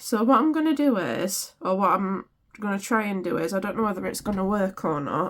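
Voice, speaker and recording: A woman in a British accent with medium pitch, lively intonation and a fairly quick pace. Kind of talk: craft tutorial. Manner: casual, chatty.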